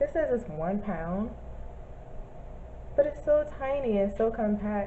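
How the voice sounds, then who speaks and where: Through noticeable background noise and audible room echo, a woman talks at a moderate pace. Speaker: vlogger. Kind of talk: casual vlog review. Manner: halting, many fillers.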